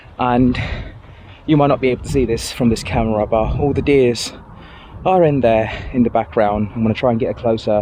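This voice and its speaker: The pace is fairly quick, yet long pauses come often. Pitch varies in an ordinary way over noticeable background noise. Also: man, medium pitch for a man. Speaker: hiking vlogger. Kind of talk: vlog narration while walking. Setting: outdoors in the rain. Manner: halting, stuttering.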